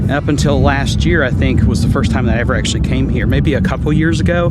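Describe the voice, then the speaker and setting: A man talks with an American accent and hardly any pauses. Noticeable background noise runs under his voice. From Southwest Virginia, Appalachian. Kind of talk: casual vlog talk to camera. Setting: outdoors.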